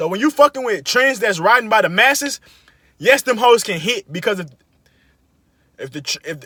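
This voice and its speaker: Projecting his raised voice, a man talks at a fairly quick pace with lively intonation and a bright, sharp tone, recorded dry and close with no echo. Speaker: podcaster. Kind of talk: casual monologue. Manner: fast; animated.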